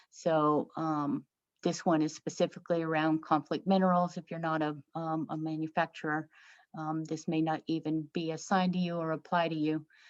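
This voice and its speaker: Monotone, flat intonation comes at a moderate pace, with a quiet background and a dry, close sound with no echo. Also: woman, very deep, low pitch for a woman. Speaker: software trainer. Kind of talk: tutorial. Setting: webinar. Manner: hesitant with fillers.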